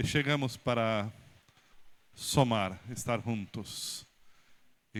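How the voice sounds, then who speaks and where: A man with a Brazilian accent and fairly even intonation. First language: Portuguese (speaking Spanish). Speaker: pastor. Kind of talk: speech at church installation ceremony. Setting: church. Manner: halting.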